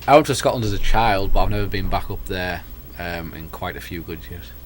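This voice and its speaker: Speaking at a fairly quick pace in an American accent, a man swings widely in loudness as room echo is heard around him. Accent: English accent with slight American twang. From northern England. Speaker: student co-host. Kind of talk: casual chat. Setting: TV studio.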